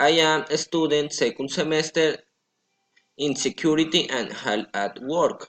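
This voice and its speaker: At a fairly slow pace, a man with a Colombian accent speaks in a fairly high pitch. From Colombia, Florencia, Caquetá. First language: Spanish. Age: 20s. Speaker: language student. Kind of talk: prepared self-introduction for English class. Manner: halting.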